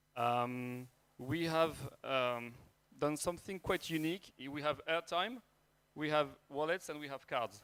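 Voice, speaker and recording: With a French accent, a man speaks in a bright, sharp tone at a fairly high pitch with ordinary pitch variation. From France. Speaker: startup founder and CEO. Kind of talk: startup pitch. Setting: stage with audience. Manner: hesitant, many fillers.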